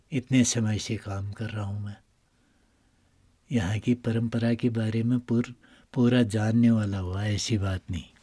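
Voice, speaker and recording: A man speaks at a medium pitch with fairly even intonation and a dark, mellow, somewhat breathy tone, leaving long, frequent pauses in a very clean recording with a silent background. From Uttarakhand, India. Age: 60s. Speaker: temple priest. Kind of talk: interview. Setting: inside a cave shrine.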